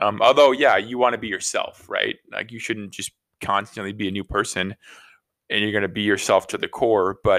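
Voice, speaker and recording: Recorded very cleanly over a silent background, a man speaks. The sound is dry and close, with no echo. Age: 30s. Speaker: podcast co-host. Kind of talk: casual chat. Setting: living room.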